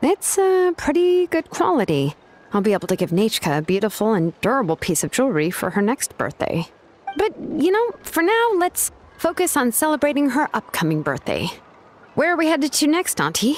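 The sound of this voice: In a high-pitched put-on character voice with very wide pitch swings, a woman speaks in a dry, close sound with no echo. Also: moderate pace.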